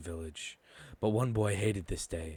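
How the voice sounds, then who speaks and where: Somewhat breathy speech from a man, recorded very cleanly with total background silence. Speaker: fanfiction voiceover narrator. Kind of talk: casual intro; reading aloud. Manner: hesitant, filler words.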